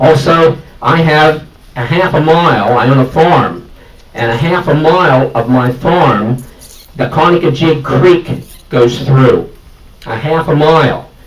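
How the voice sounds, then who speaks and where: There is noticeable background noise behind a man's voice. He talks at a fairly slow pace, his fairly high pitch varying in an ordinary way. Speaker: farmer, audience member. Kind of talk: public meeting question. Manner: loud.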